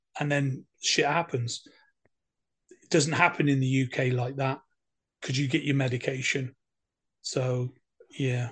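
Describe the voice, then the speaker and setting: A man with an English accent speaks at medium pitch in a flat, monotone way, at a fairly slow pace. His loudness swings widely, and he pauses long and often. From England. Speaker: war veteran. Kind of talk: interview.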